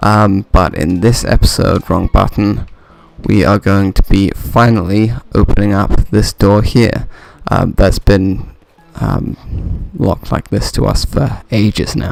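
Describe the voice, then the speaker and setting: A quiet man with a fairly low pitch and ordinary pitch variation at a very slow pace, with music in the background. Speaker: gaming video commentator. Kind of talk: let's play commentary. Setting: home recording at night. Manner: quiet, keeping voice down; hesitant, many fillers.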